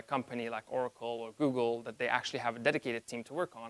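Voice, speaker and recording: A man with a non-native accent speaks very fast. The sound is dry and close with no echo. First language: not English. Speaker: conference speaker. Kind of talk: conference talk. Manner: halting, with fillers and self-corrections.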